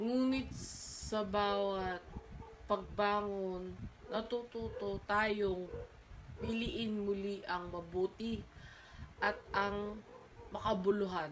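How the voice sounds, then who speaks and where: A woman speaks at a very slow pace, leaving long, frequent pauses. Her intonation is fairly even, and room echo is audible. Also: medium pitch for a woman. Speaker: university student. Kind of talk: oral exam presentation. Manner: halting, with frequent self-corrections.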